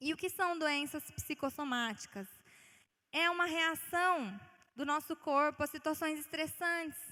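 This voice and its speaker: A raised, projected voice with a bright, sharp tone moves at a fairly slow pace. Its pitch variation is ordinary. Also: woman, high pitch for a woman. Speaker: guest preacher. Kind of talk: sermon. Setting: church.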